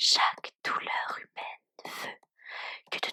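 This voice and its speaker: A woman whispering at a very slow pace, with dry, close sound and no echo. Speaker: ASMR content creator. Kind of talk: whispered poetry reading. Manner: whispered, soft, slow.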